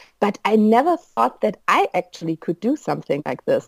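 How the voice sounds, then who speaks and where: A woman with a German accent speaks at a moderate pace, the sound dry and close with no echo. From Germany. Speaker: pilgrim. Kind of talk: interview. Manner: hesitant, many fillers.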